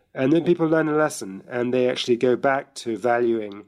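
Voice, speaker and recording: Speaking with a British accent, a man keeps a fairly quick pace, a medium pitch and ordinary pitch variation. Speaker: author and journalist. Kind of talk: interview discussion.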